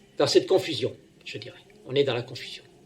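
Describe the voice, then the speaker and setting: A man speaks over noticeable background noise. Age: 60s. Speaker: self-proclaimed prophet, preacher. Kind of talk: homily. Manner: halting, many fillers and repetitions.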